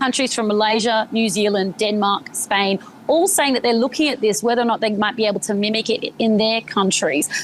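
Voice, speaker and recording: Speaking with an Australian accent, a woman talks at a fairly quick pace with hardly any pauses, a fairly high pitch, ordinary pitch variation and very even loudness. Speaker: journalist. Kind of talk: live news interview. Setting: remote live cross from Sydney.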